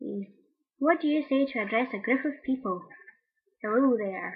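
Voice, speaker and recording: A woman speaks with a Scottish accent. Her pitch is high. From Scotland, Greenock near Glasgow. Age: 20s. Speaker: video blogger. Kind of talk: casual chat. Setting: webcam recording.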